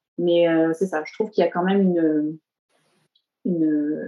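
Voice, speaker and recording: A woman's dark, mellow voice, fairly low in pitch, with fairly even intonation at a moderate pace. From southern France. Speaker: tattoo artist. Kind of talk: interview. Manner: hesitant, many fillers.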